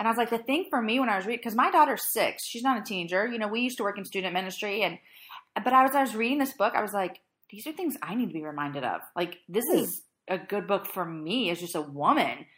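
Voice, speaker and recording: A woman speaks very fast in a fairly high pitch, her animated tone marked by very wide pitch swings. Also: very clean recording, silent background. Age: 30s. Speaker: podcast host. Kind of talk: casual chat.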